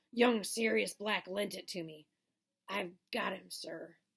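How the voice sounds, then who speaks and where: Using a put-on character voice, a woman speaks raspily at medium pitch and a fairly slow pace. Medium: read story. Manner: deferential, says sir often.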